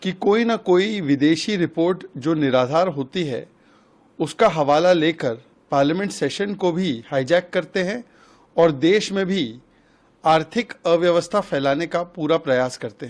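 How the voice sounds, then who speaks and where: The man's voice sits high. It moves up and down with ordinary pitch variation. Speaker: political party spokesperson. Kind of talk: political statement to press.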